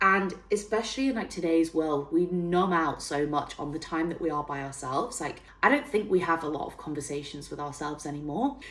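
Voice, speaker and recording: Over noticeable background noise, a woman with a northern English accent speaks in an animated tone at a moderate pace. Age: 30s. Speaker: fitness trainer and self-development YouTuber. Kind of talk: casual vlog tutorial. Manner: chatty, animated.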